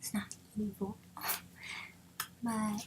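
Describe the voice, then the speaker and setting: A soft-spoken woman's voice, medium in pitch, very slow and monotone with flat intonation. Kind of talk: ASMR.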